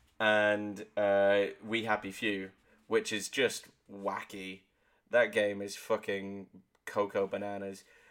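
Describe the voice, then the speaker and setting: Very slow, monotone, flat speech from a man at a fairly low pitch, on a very clean recording with a silent background. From Devon, southwest England. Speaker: gaming podcast co-host. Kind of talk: casual chat.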